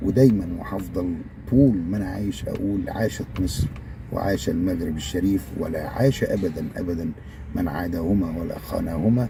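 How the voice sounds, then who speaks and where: A man with an Egyptian accent speaks at a moderate pace in a very deep, low pitch. His pitch variation is ordinary, and noticeable background noise is present. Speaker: YouTuber. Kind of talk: casual video monologue. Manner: halting, many fillers.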